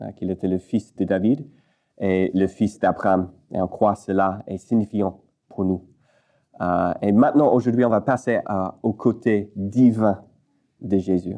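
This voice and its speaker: A man with an English accent speaks at a very slow pace, with long, frequent pauses. His fairly low voice has a dark, mellow tone and fairly even intonation. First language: English (speaking French). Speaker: pastor. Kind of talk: sermon. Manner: halting, many hesitations.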